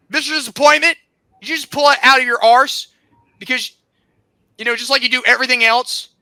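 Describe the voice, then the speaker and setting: With an American accent, a raised, projected voice of bright, sharp tone goes at a fairly quick pace, broken by long, frequent pauses. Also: man, extremely high pitch for a man. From South Carolina. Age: 20s. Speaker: podcast host. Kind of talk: angry rant. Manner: animated.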